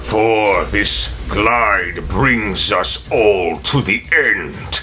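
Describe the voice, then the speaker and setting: In a put-on character voice, a man speaks very slowly with a menacing tone and fairly low pitch over clear background noise. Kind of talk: dark fantasy villain speech. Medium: actual play. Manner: menacing, grandiose.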